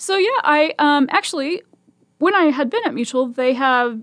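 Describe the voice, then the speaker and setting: A woman with a Midwestern accent. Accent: General American (Midwest). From Nebraska (Omaha). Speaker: volunteer radio reader. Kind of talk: radio interview. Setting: studio. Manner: fast.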